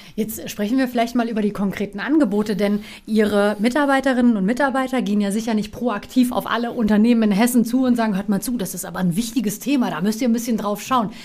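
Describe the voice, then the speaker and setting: Speaking at a very fast pace with hardly any pauses, a woman sounds somewhat breathy. Her intonation stays fairly even. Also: fairly high pitch for a woman. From Offenbach, Hesse, Germany (born in Istanbul). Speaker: radio and TV presenter. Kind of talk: interview.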